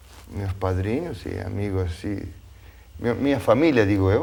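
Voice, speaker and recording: Audible room echo surrounds a man speaking at a fairly slow pace in a fairly low pitch. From Argentina (Tucumán). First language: Spanish (speaking Portuguese). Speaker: TV talk show host. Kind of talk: panel discussion. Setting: studio.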